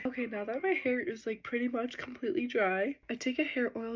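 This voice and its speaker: Soft-spoken and high-pitched, a woman talks at a moderate pace with ordinary pitch variation. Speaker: hair tutorial creator. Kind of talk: tutorial.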